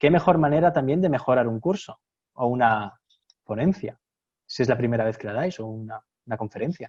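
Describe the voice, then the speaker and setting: In a Castilian accent, a man of medium pitch speaks at a fairly quick pace with lively intonation, the sound dry and close with no echo. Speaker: university lecturer. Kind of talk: webinar presentation. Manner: fast; animated.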